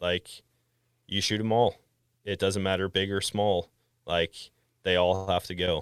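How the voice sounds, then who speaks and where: A man with an American accent, very deep and low in pitch, in a flat monotone at a fairly slow pace with long, frequent pauses, on a very clean, dry, close recording with no echo and a silent background. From Wisconsin, US Midwest. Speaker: podcast host and hunter. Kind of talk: casual interview chat.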